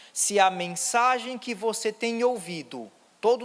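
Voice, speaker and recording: A man with a Ceará accent talks at a fairly slow pace. His voice is high-pitched, with lively intonation. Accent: northeastern Brazilian Portuguese (cearense). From Ceará, northeast Brazil. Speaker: pastor. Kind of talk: sermon. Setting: church.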